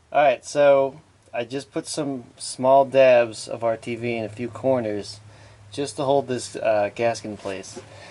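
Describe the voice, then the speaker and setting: Over noticeable background noise, a man with an American accent speaks at a fairly slow pace in a medium pitch with fairly even intonation. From New Jersey. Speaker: DIY mechanic.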